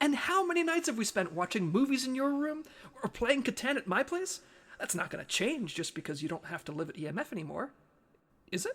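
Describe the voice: A put-on character voice, fairly bright in tone, with big pitch swings and a fairly quick pace. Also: man, extremely high pitch for a man.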